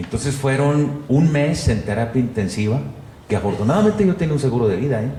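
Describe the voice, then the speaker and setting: A man at a medium pitch and fairly quick pace, with lively intonation and very even loudness, amid noticeable background noise and audible room echo. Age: 60s. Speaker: journalist and photographer. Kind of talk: interview conversation.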